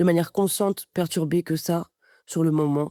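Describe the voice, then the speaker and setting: A woman's fairly low, dark and mellow voice at a moderate pace, with fairly even intonation, dry and close with no echo, in a very clean recording over a silent background. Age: 20s. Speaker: podcast guest, adoptee sharing her story. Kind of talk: personal testimony. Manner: hesitant, many fillers and repetitions.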